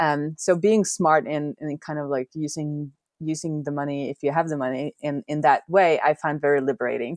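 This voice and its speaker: A woman's very deep, low voice at a moderate pace, with a dry, close sound with no echo and a quiet background. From Norway. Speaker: software developer and indie hacker. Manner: animated, laughs often.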